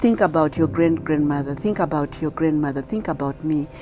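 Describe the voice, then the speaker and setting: A very deep, low female voice moving at a fairly quick pace, ordinary pitch variation, and music playing behind. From Zimbabwe. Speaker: motivational speaker. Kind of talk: testimony.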